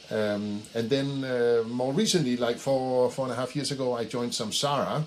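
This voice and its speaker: A man speaks with a strong Danish accent at a moderate pace. His pitch is medium, and there is noticeable background noise. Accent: thick Danish. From Denmark. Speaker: head of people, HR executive. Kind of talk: casual interview. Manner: halting, many fillers.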